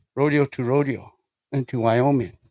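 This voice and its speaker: In a Lakota accent, a man speaks with a dark, mellow tone and fairly even intonation. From South Dakota, Lakota community. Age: 60s. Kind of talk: testimony. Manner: halting, many fillers.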